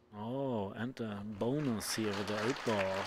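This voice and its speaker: A man at a very slow pace with ordinary pitch variation, crowd noise in the background. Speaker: pool commentator. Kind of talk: live commentary.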